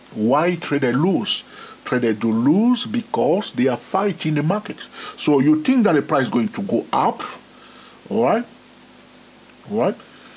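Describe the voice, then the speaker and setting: Pitched fairly high, a man speaks at a fairly slow pace with very wide pitch swings amid noticeable background noise. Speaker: trading educator. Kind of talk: tutorial. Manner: frequent fillers.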